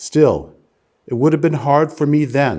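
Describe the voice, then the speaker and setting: A man with a New York accent and a dark, mellow tone. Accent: American, New York area. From US Northeast, New Jersey. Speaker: lawyer giving a public lecture. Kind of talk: lecture. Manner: slow, deliberate.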